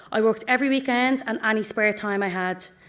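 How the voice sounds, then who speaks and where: A woman with a Dublin accent and fairly high pitch, at a fairly quick pace with fairly even intonation, in a very clean recording with a silent background. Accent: Dublin inner city. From Ireland, Dublin north inner city. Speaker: pharmacy graduate. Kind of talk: ceremony speech. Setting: auditorium with audience.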